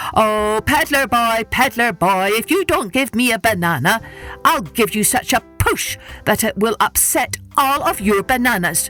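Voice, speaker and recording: A female-sounding put-on character voice comes through loud and fairly high in pitch. It moves at a moderate pace over clear music in the background. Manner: loud, calling out.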